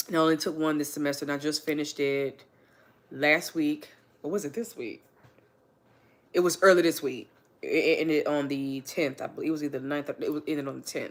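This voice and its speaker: A woman with a very deep, low pitch, fairly even intonation and a fairly quick pace broken by long, frequent pauses. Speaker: livestreamer and student. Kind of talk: casual livestream chat. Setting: livestream at home on couch.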